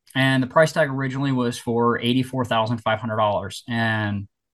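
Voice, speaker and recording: Against a quiet background, a man talks in a normal speaking voice at medium pitch with ordinary pitch variation. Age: 30s. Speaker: real estate investor, former police officer. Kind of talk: interview.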